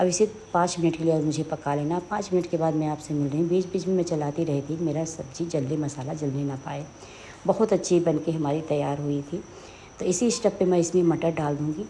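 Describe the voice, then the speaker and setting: Speaking at a moderate pace, a woman with a very deep, low pitch for a woman keeps her intonation fairly even. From Uttar Pradesh, India (Sultanpur). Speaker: home cooking video host. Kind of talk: cooking tutorial.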